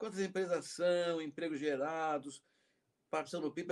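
A man talking at a fairly quick pace. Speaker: professor and interview host. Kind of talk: interview.

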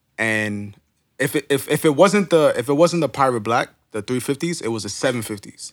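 In a very clean recording with a silent background, a man with a New York accent talks at a fairly quick pace, his medium-pitched voice carrying lively intonation. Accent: New York City. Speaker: podcast host. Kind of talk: casual chat. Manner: halting, many fillers.

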